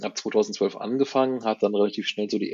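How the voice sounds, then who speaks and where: A man speaks at a medium pitch. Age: 50s. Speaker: author and IT worker. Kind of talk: interview. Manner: halting.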